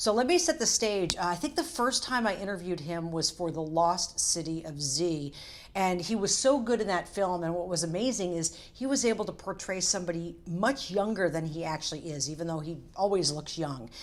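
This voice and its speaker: A woman with an ordinary speaking voice, fairly low pitch and lively intonation, at a fairly quick pace with hardly any pauses. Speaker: entertainment TV host. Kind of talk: casual to-camera talk. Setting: hotel room.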